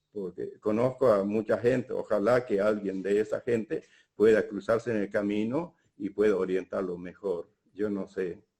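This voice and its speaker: Fairly low in pitch and dark and mellow in tone, a man speaks at a fairly slow pace with fairly even intonation. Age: 70s. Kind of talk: public talk. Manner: halting.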